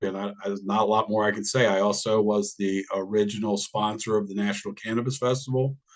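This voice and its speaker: A man with an American accent, in a plain, everyday voice, at a fairly quick pace, with fairly low pitch and fairly even intonation. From Washington DC. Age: 60s. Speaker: cannabis business owner. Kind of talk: public hearing testimony.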